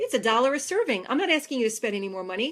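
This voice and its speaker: On a very clean recording with a silent background, a woman with an American accent speaks in a high-pitched, animated tone. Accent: New York, sometimes strong. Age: 40s. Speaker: fitness trainer. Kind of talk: facebook live talk. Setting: live video stream.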